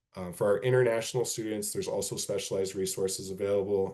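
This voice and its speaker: A man talks at a very fast pace with a fairly low pitch and a dark, mellow tone. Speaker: university financial aid presenter. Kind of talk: presentation / webinar Q&A. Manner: many filler words (um, uh).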